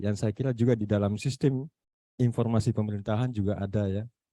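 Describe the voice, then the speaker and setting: The man's voice has a dark, mellow tone. The sound is dry and close with no echo, over a quiet background. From Makassar, South Sulawesi. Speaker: university lecturer. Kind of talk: online meeting discussion. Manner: halting, many fillers.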